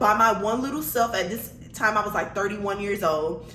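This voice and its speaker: Over noticeable background noise and audible room echo, a woman speaks at a moderate pace with an animated tone. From Miami, Florida (Liberty City). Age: 30s. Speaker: vlogger. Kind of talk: testimony.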